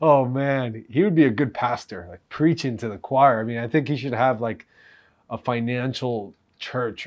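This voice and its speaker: A man uses a normal speaking voice at a fairly quick pace. His pitch variation is ordinary. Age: 30s. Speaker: real estate investor, reaction video host. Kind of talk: casual reaction commentary.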